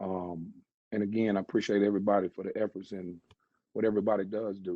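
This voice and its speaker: A man speaks in a Southern US accent at a fairly quick pace. His fairly low voice stays monotone and flat. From Charlotte, North Carolina, US South. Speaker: mayoral candidate, salon owner. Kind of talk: campaign speech. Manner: halting, many fillers.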